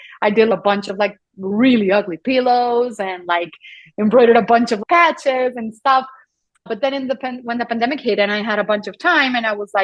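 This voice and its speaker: A woman with a Colombian accent, fairly high in pitch, at a fairly quick pace. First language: Spanish. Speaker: photographer and embroiderer. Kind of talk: podcast interview. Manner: halting, with frequent repetitions.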